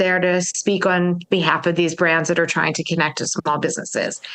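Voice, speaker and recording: The speech runs at a fairly quick pace. Noticeable background noise sits behind it. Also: woman. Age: 60s. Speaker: marketing consultant. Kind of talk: casual chat.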